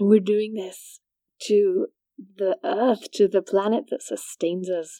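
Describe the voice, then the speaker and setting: In a Welsh accent, a woman of medium pitch talks at a fairly slow pace with fairly even intonation and a dark, mellow tone, the sound dry and close with no echo. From rural Wales. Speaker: podcast host. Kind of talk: scripted narration.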